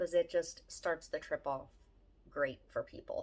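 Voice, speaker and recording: A woman speaks with a Philadelphia accent. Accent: Philadelphia-area American. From Southeast Pennsylvania, near Philadelphia. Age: 40s. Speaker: family vlogger. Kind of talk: casual vlog chat.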